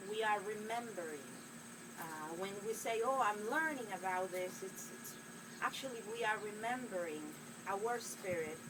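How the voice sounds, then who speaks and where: Over noticeable background noise and audible room echo, a woman with a Spanish accent speaks at medium pitch and a moderate pace with ordinary pitch variation. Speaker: spiritual healer. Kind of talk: inspirational monologue to camera. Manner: hesitant, with many fillers.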